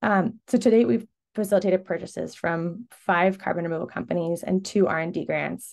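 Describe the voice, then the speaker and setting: A woman speaks at a fairly quick pace in a fairly low voice with vocal fry and ordinary pitch variation. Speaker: carbon removal buyer, webinar speaker. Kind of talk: webinar presentation.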